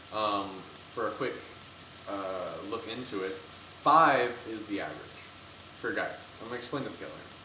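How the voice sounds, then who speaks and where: Between long, frequent pauses, a man with a medium pitch and ordinary pitch variation speaks at a moderate pace, with audible room echo and noticeable background noise. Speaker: video blogger. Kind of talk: casual chat. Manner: loud.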